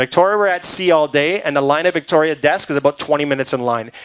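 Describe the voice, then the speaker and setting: A man talks at a fairly quick pace in a fairly high voice with ordinary pitch variation. The sound is dry and close, with no echo. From Canada. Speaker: cruise sales presenter. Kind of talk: sales pitch. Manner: fast.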